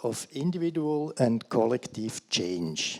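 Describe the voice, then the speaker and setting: A man with a Swiss accent talks at a very slow pace and a medium pitch. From Switzerland. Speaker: career guidance practitioner. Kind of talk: conference talk read from paper. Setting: conference stage. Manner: hesitant, with fillers.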